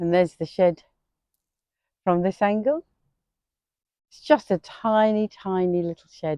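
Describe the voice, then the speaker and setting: A relaxed, dark, mellow tone with ordinary pitch variation, big swings in loudness and long, frequent pauses, in a dry, close sound with no echo. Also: woman, medium pitch for a woman. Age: 60s. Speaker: gardening vlogger. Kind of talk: casual vlog tour. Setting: outdoors in garden. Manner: relaxed, hesitant with many fillers.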